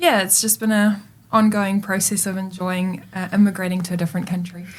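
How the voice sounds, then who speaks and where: Somewhat breathy and fairly quick, a woman speaks at a medium pitch with monotone, flat intonation. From South Africa, rural Western Cape. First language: Afrikaans. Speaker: professional netball player. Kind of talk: podcast interview. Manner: hesitant, many fillers.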